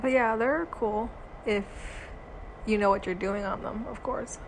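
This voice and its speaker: Against noticeable background noise, a woman speaks at a moderate pace. Her fairly high voice shows ordinary pitch variation. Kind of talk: casual chat.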